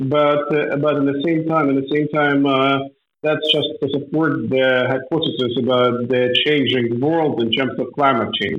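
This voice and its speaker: A man's fairly high-pitched voice in a Ukrainian accent, monotone and flat, at a fairly slow pace with very even loudness. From northern Ukraine. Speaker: agribusiness owner. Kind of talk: interview.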